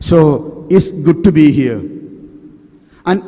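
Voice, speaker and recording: There is noticeable background noise and audible room echo. Through it, a man speaks with lively intonation. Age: 60s. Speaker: priest. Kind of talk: sermon.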